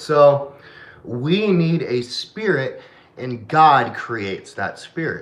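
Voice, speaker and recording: Noticeable background noise sits behind a man speaking at a very slow pace with fairly high pitch. His intonation is lively and his loudness swings widely. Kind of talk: casual chat.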